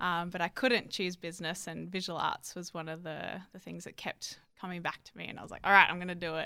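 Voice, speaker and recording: A woman with a fairly low voice and vocal fry speaks at a very fast pace, hardly pausing, in a bright, sharp tone with fairly even intonation but big swings in loudness. The recording is very clean, with a silent background. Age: 20s. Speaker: theology and fine arts student, artist. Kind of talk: casual interview. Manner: hesitant, with many fillers.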